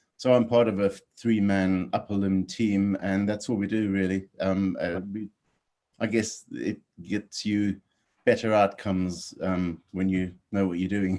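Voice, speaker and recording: A man with a South African accent speaks at a fairly slow pace, his pitch fairly low and his tone dark and mellow. His intonation is monotone and flat, and the recording is very clean with a silent background. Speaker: orthopedic surgeon. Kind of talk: interview.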